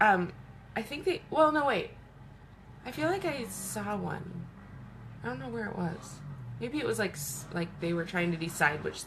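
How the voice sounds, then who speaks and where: A woman talks in an animated tone at a moderate pace, leaving long, frequent pauses, with audible room echo around her. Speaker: makeup seller doing live beauty stream. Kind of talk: casual live stream chat. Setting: home, live video stream.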